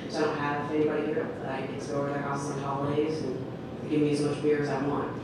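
Strong room echo and noticeable background noise surround a woman talking at a very fast pace. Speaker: storyteller. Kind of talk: live storytelling. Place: stage.

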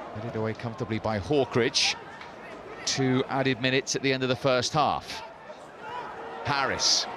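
A man's voice, dry with no echo, fairly even in intonation, with long and frequent pauses over noticeable background noise. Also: medium pitch for a man, moderate pace. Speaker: football commentator. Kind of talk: live football play-by-play commentary. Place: stadium.

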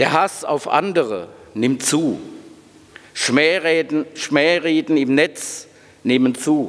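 A man at a very slow pace, with very even loudness and long, frequent pauses. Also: ordinary pitch variation. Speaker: university president. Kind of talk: welcome speech. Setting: stage with audience. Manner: formal. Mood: serious, earnest. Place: hall. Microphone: podium.

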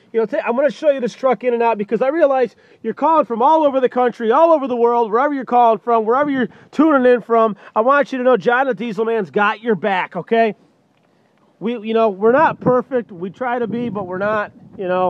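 The speech moves at a fairly quick pace with ordinary pitch variation. The sound is dry with no echo, against a quiet background. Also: man, extremely high pitch for a man. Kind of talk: sales walkaround commentary. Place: car. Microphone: phone near.

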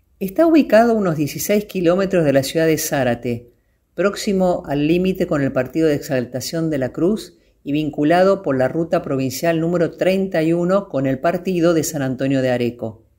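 A woman with a plain, everyday voice speaks at a moderate pace on a very clean recording with a silent background. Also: fairly low pitch for a woman, ordinary pitch variation. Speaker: voice-over narrator. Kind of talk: documentary travel narration.

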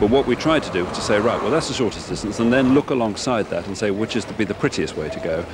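Noticeable background noise surrounds a man speaking with ordinary pitch variation in a dry sound with no echo. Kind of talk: interview answer. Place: street. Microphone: handheld.

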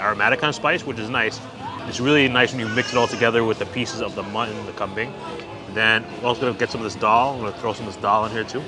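Over clear background music, a man talks at a very fast pace with fairly even intonation, the sound dry with no echo. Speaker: food vlogger. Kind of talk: casual food review commentary. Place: market. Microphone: phone near.

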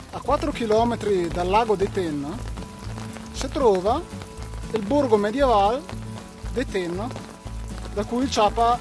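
A man with a Trentino accent at a fairly slow pace, dry sound with no echo, clear music in the background. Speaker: travel vlogger. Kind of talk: casual travel vlog talk to camera. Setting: outdoors in rain. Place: waterside. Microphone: phone near.

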